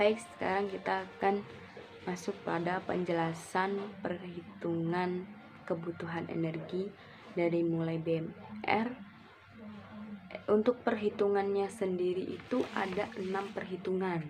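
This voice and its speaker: Over background music, a woman speaks at a fairly slow pace. Her pitch is medium, with ordinary variation. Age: 20s. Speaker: university student. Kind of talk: recorded class assignment presentation. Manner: explanatory, with filler words and self-corrections.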